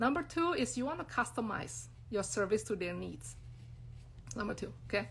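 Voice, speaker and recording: A woman talks at a fairly quick pace. She speaks with an Indonesian accent. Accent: non-native English, Indonesian. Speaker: brand designer and business coach. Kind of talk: live-stream talk to followers. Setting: Instagram live stream. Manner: casual, many fillers.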